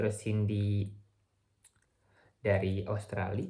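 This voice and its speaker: Man's somewhat breathy voice, audible room echo around it. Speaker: vlogger, visiting researcher. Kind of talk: video diary vlog. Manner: halting, frequent self-corrections; casual Indonesian with English mixed in.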